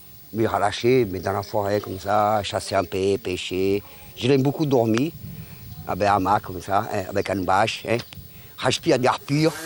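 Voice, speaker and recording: A man with a fairly low pitch talks at a moderate pace with ordinary pitch variation and long, frequent pauses, over noticeable background noise. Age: 60s. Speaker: local resident, hunter. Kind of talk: interview. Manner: halting.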